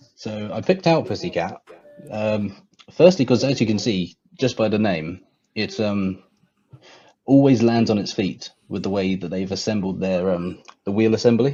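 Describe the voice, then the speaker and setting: A man with a southern English accent speaks at a moderate pace with a fairly low pitch. His pitch varies in an ordinary way, with long, frequent pauses. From England, near London. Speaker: guest, robot combat enthusiast. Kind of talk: casual livestream chat.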